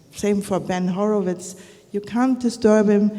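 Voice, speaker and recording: Over noticeable background noise, a woman speaks at a medium pitch. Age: 60s. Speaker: media conference founder. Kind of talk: on-stage interview. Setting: stage with audience.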